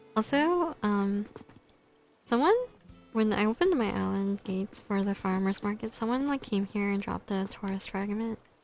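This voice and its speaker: Over music in the background, a woman talks at a moderate pace in a medium pitch with ordinary pitch variation. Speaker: gaming streamer. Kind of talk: casual gameplay commentary. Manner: soft-spoken, mumbles at times.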